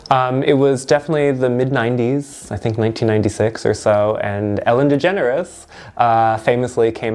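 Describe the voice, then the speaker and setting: Over music in the background, a man talks at a moderate pace with a medium pitch and ordinary pitch variation. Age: 30s. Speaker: university lecturer. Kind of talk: interview testimony.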